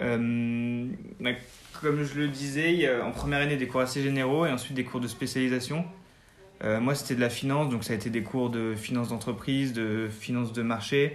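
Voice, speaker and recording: A man's voice sits at a medium pitch, delivered at a moderate pace with fairly even intonation. Audible room echo hangs around his words. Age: 20s. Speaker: business school student. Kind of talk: interview. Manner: halting.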